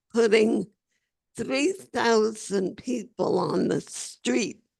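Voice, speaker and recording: A woman with a medium pitch, lively intonation and vocal fry, at a very slow pace. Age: 80s+. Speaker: labor organizer. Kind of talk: interview answer.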